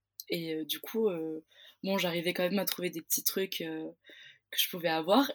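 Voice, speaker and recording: On a very clean recording with a silent background, a woman speaks at a moderate pace with ordinary pitch variation and a dry, close sound with no echo. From southern France, Pyrenees. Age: 20s. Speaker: theatre student. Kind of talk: interview. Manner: halting.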